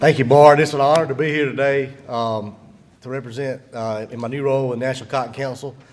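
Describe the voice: A man talks at a medium pitch and a fairly quick pace. His intonation stays fairly even.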